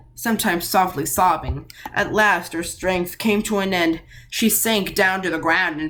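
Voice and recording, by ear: A natural voice, reading aloud.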